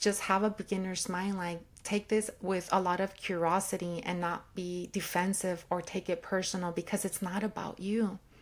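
With hardly any pauses, a woman talks at a moderate pace in a flat, monotone way. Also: medium pitch for a woman. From California, Watsonville, born in Mexico. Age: 40s. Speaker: sociology professor. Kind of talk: interview conversation.

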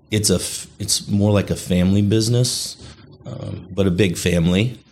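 Noticeable background noise surrounds a man with an American accent. He speaks at a moderate pace with a fairly low pitch and fairly even intonation. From Chicago area, US Midwest. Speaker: casino company executive. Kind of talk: casual interview.

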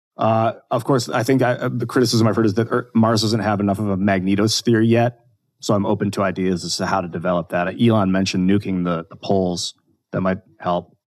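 In front of a quiet background, a man with an American accent talks fairly quickly at a fairly low pitch, with fairly even intonation and a plain, everyday voice. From US Midwest, Northeast Ohio. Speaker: actor and podcast co-host. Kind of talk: casual interview chat. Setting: podcast recording.

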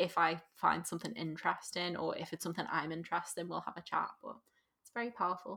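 Very fast speech in a Liverpool accent, bright and sharp in tone, with fairly even intonation and big swings in loudness. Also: woman, fairly low pitch for a woman. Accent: Liverpool (Scouse), fairly soft. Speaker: business coach. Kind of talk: casual interview chat.

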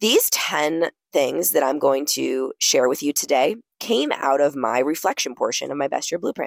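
With lively intonation and a very deep, low pitch, a woman is heard in a dry, close recording with no echo. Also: moderate pace. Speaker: podcast host. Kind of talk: solo podcast monologue. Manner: casual, conversational.

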